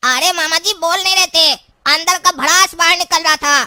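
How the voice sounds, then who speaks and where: Pitched extremely high, the voice is a cartoonish character voice. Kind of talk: comic rural Hindi dialogue. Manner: cheeky, sarcastic.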